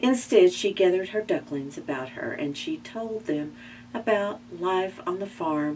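The clip has an unforced reading voice.

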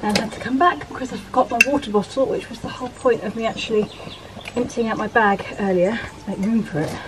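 There is noticeable background noise behind a woman's voice. She talks at a fairly quick pace with ordinary pitch variation. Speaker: vlogger. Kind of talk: casual vlog chat. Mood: amused, self-deprecating. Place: garden. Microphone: camera far.

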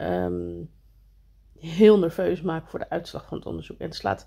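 A woman's voice at a moderate pace over a quiet background. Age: 40s. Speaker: vlogger. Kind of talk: casual vlog talk. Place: home room. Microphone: phone near.

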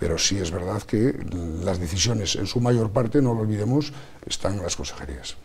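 A man talks in a normal speaking voice at a fairly low pitch, with lively intonation. Light background noise is present. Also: moderate pace. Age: 50s. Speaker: politician. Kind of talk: TV interview. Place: studio. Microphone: lapel.

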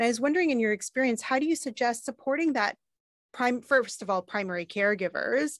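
A woman with a Canadian accent talks at a very fast pace with lively intonation, in a dry sound with no echo and a quiet background. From Canada. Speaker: gender specialist advisor; podcast host or guest. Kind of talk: panel discussion. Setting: studio. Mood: thoughtful, earnest. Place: studio. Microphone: studio mic.

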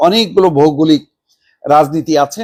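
A man with a fairly high pitch and a plain, everyday voice, ordinary pitch variation, in dry, close sound with no echo. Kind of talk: news commentary.

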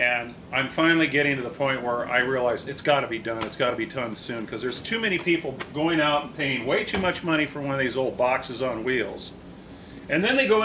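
Speaking very fast with lively intonation, a man is heard over noticeable background noise. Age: 60s. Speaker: vintage trailer restorer and video host; channel host. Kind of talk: tutorial; casual explanatory talk to camera. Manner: casual, halting with fillers. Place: garage.

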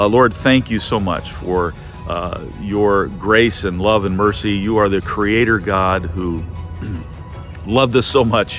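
A man with a fairly low voice and ordinary pitch variation speaks in a dry room with no echo, faint music playing behind him. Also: fairly slow pace. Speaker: church pastor. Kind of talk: casual update then prayer. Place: open country. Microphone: phone near.

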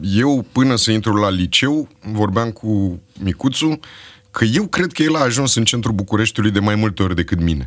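With long, frequent pauses, a man talks at a moderate pace in a fairly low voice, his intonation lively and his loudness very even, against a quiet background. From Romania, Bucharest (Berceni); Romania. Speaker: actor and screenwriter; actor. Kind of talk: casual chat. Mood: relaxed, humorous. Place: studio. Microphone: studio mic.

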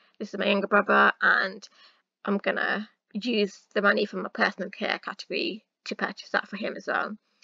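A woman in a South East England accent speaks at a fairly quick pace, the sound dry and close with no echo. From Luton, England. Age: 20s. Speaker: personal finance YouTuber. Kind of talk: casual talk to camera.

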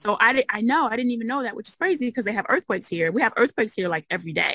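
A woman speaks very fast in a fairly high, bright, sharp voice with lively intonation, and the sound is dry with no echo. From US Midwest, Chicago. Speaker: occupational therapist and mobile home investor; interview guest. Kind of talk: interview. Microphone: video call.

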